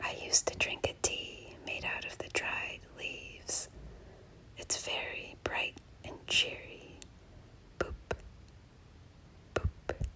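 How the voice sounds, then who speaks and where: Whispering in a gentle tone, a woman speaks at a very slow pace with long, frequent pauses over noticeable background noise. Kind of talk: whisper ASMR nature walk narration. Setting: outdoors, snowy forest. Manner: whispered, soft, gentle.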